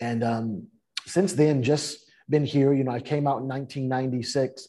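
A man speaks with a Californian accent. His tone is dark, mellow and somewhat breathy. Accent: Californian American. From US West Coast, San Francisco Bay Area. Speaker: author and speaker. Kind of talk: interview.

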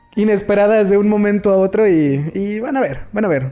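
Fairly quick speech over music in the background. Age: 20s. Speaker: podcast host. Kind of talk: casual chat.

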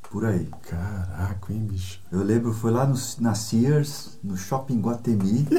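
A man talks at a very slow pace and a fairly low pitch, with ordinary pitch variation. Noticeable background noise and audible room echo fill the recording. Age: 60s. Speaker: guitarist. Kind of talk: casual chat. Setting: home studio.

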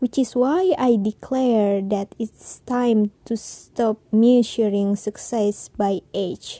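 A woman speaks very slowly in an Indonesian accent, her fairly high voice dark and mellow with ordinary pitch variation. The sound is dry and close with no echo. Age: 20s. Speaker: podcaster. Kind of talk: personal monologue.

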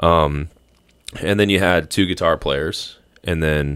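Speaking with an American accent, a man uses a very deep, low pitch at a fairly slow pace. The recording is very clean, with a silent background. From US South, northeast Florida. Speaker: former basketball player, photographer and musician. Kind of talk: casual chat.

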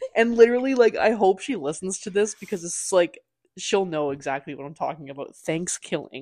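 Against a quiet background, a woman with an unremarkable speaking voice talks at a moderate pace with ordinary pitch variation. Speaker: podcast host. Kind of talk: casual chat.

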